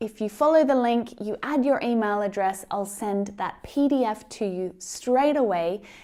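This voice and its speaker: On a very clean recording with a silent background, a woman with an Australian accent and a dark, mellow tone speaks fairly slowly at a fairly high pitch with lively intonation. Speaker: English pronunciation teacher. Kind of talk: tutorial.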